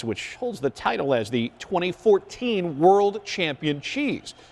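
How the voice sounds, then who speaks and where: Over noticeable background noise, a man speaks at a fairly high pitch with very wide pitch swings. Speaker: TV news anchor and reporter. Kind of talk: TV news anchoring.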